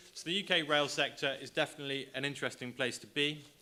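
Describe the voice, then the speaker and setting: A man talks very fast with a British accent. His voice is fairly high-pitched, with a bright, sharp tone. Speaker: government trade specialist. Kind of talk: conference presentation. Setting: stage with audience.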